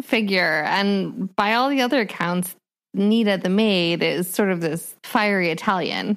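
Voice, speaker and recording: A woman with an American accent and a plain, everyday voice talks at a moderate pace and medium pitch on a very clean recording with a silent background. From US Midwest, Minnesota. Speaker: podcast co-host. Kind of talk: casual chat about books.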